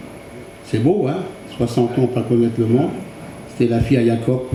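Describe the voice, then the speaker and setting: A man's moderately paced speech carries audible room echo and noticeable background noise. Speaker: churchgoer giving testimony. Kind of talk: testimony. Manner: halting.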